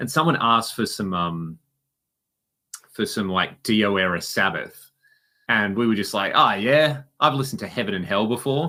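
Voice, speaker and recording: Bright and sharp in tone, a man with an Australian accent uses lively intonation and takes long, frequent pauses, on a very clean recording with a silent background. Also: medium pitch for a man, moderate pace. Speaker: podcast co-host and musician. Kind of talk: casual chat.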